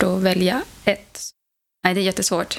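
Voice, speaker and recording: The recording is very clean, with a silent background. A woman talks at a moderate pace and medium pitch. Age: 30s. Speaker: mother, ufo association member. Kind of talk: interview.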